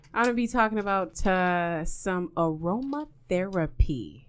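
This woman talks at a medium pitch, her tone animated and her intonation lively. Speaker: podcast host. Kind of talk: casual conversational banter. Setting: studio. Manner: animated, chatty.

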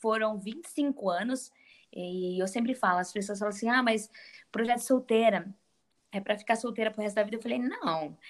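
Pitched fairly high, a woman speaks with ordinary pitch variation in a plain, everyday voice. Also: moderate pace. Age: 20s. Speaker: author and women's ministry leader. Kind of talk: casual chat.

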